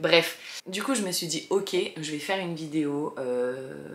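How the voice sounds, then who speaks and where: A woman speaks at a very deep, low pitch. Her voice carries vocal fry. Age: 30s. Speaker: vlogger, single mother. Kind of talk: casual chat to camera. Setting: bedroom, sitting on bed. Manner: hesitant, many fillers.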